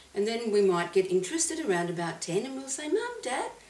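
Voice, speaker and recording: A woman's pitch swings very widely. There is noticeable noise behind her voice. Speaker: clinical psychologist and hypnotherapist. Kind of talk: casual talk to camera.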